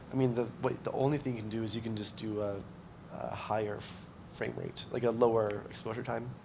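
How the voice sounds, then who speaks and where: Amid noticeable background noise and audible room echo, a man with a medium pitch talks at a fairly quick pace in a monotone, flat intonation. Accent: Canadian. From Canada (Ontario). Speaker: workshop instructor. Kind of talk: casual chat. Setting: conference. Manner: halting.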